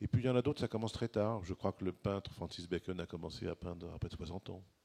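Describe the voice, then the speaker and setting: Very fast speech comes from a man with a very deep, low pitch and a dark, mellow tone. The sound is dry and close with no echo. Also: ordinary pitch variation. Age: 60s. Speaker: writer and economist. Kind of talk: panel debate. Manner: halting.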